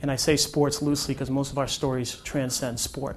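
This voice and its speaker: Audible room echo surrounds a man whose voice sits fairly high in pitch. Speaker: media company founder and speaker. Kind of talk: conference talk. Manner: fast.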